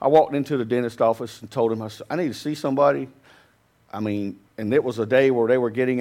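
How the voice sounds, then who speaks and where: Someone with a Southern US accent talks at a very fast pace with fairly even intonation against a quiet background. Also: man. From US South. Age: 50s. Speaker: pastor. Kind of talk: sermon. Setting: church.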